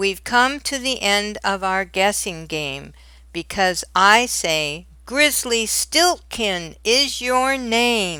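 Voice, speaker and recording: Someone uses a loud, put-on character voice at a very slow pace. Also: woman, medium pitch for a woman. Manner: loud, clear.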